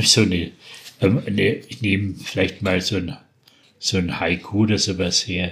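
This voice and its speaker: Speaking with a Franconian accent, a man with a very deep, low voice goes at a fairly slow pace, keeping a fairly even intonation and taking long, frequent pauses. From Franconia, Bavaria. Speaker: dialect poet. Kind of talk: poetry reading.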